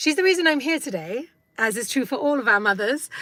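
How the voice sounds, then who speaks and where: With an English accent, a woman talks in a bright, sharp tone with lively intonation. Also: very clean recording, silent background. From England. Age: 50s. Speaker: vlogger. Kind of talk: live stream vlog. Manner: hesitant, many fillers.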